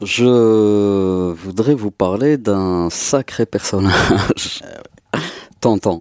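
With very slow pace and big swings in loudness, a man speaks at fairly low pitch with ordinary pitch variation. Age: 40s. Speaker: music festival organizer. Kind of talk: casual chat.

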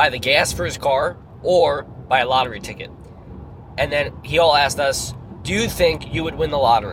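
Lively intonation from a man with a fairly high pitch and an American accent, with audible room echo and noticeable background noise. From New York. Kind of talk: casual chat. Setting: in a car.

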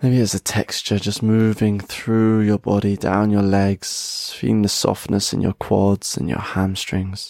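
Fairly low in pitch, a man uses a normal speaking voice at a fairly slow pace with fairly even intonation. He leaves hardly any pauses, and the sound is dry and close with no echo. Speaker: podcast host and meditation guide. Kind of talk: guided meditation, slow breath-paced relaxation instructions. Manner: slow, soothing and unhurried, pausing with each breath; gentle, warm and softly encouraging, audibly sighing out.

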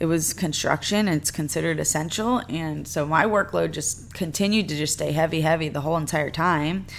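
The woman has a normal speaking voice. Her pace is moderate and her pitch varies in an ordinary way. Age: 20s. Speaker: podcast host and sports complex manager. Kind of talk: casual monologue. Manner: casual, filler-heavy.

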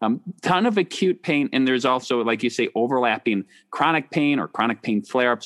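Speaking with a slight Wisconsin accent, a man talks at medium pitch and a fairly quick pace with lively intonation and very even loudness, in a dry, close sound with no echo. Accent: slight Wisconsin Midwest US. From Wisconsin, US. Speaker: doctor and podcast host. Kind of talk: interview conversation about chronic pain.

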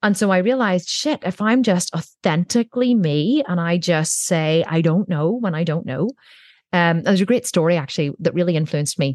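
A woman with a normal speaking voice talks at a fairly low pitch and a fairly quick pace, her intonation lively and her loudness very even. The sound is dry and close with no echo, over a quiet background. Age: 40s. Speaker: entrepreneur. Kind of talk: interview.

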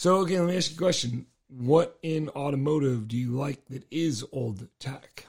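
Somewhat breathy, a man with a fairly high pitch talks at a moderate pace with hardly any pauses and ordinary pitch variation. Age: 40s. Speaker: podcast host, car enthusiast. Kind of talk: casual chat.

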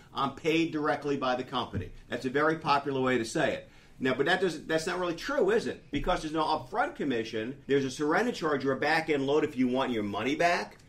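Over noticeable background noise, a man speaks at a very fast pace and a fairly high pitch. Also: ordinary pitch variation. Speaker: radio host. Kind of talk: radio ad read, infomercial pitch. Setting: radio studio. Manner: fast, punchy salesman-style delivery, urgent calls to act; hearty, folksy, upbeat and jokey.

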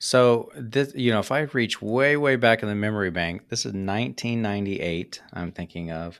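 A man with an ordinary speaking voice and a fairly low pitch talks with hardly any pauses on a very clean recording with a silent background. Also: lively intonation, moderate pace. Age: 40s. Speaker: podcast host. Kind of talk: interview.

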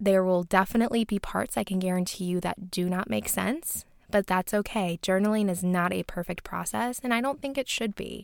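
Recorded very cleanly against a silent background, a woman uses a normal speaking voice at medium pitch with ordinary pitch variation, and the sound is dry and close with no echo. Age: 20s. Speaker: podcast host. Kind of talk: solo podcast monologue. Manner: casual, with frequent laughter.

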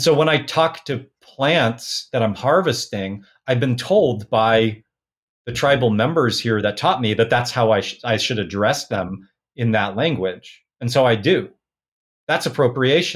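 A man at a medium pitch, a normal speaking voice, at a fairly slow pace with lively intonation. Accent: American. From US Pacific Northwest (Portland, Oregon). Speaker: folk magic practitioner. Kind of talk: interview conversation.

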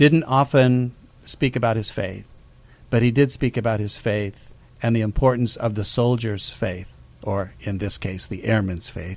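A normal speaking voice at a fairly slow pace, with ordinary pitch variation. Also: man, medium pitch for a man. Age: 60s. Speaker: military chaplain. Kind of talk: radio interview. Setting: radio studio.

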